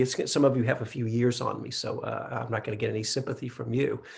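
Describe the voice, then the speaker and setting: Somewhat breathy, a man speaks fairly quickly at a medium pitch. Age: 60s. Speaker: meditation teacher. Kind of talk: dharma talk. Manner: halting.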